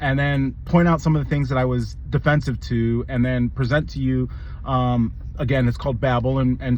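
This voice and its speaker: A man speaks over noticeable background noise. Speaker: video commentator. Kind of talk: movie review monologue. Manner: fast; halting, many repetitions.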